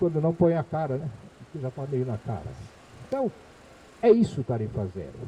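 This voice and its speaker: At a moderate pace, a man talks in a fairly high pitch with very wide pitch swings, big swings in loudness and long, frequent pauses. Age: 70s. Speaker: former transport official, engineer. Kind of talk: public talk. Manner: conversational.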